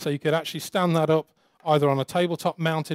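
Recorded with a dry, close sound and no echo, a man talks in a fairly high pitch.

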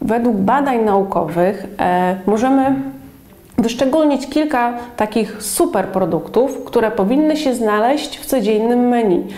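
The speaker is a woman at a fairly slow pace. Audible room echo surrounds her voice. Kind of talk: educational explanation. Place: office. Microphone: lapel.

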